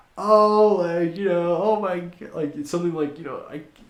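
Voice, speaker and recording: A man with a high-pitched voice talks at a moderate pace, and the room echo is audible. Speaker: podcast host. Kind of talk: casual chat. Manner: loud; animated.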